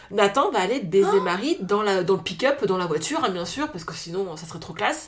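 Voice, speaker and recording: A woman at a medium pitch talks at a fairly quick pace with an animated tone and lively intonation over noticeable background noise. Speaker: podcast co-host. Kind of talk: casual chat.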